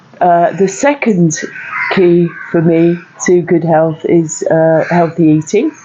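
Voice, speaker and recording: Very slow and very even in loudness, a woman talks at a fairly low pitch with ordinary pitch variation over noticeable background noise. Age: 60s. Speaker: stand-up paddle boarder. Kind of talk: interview answer.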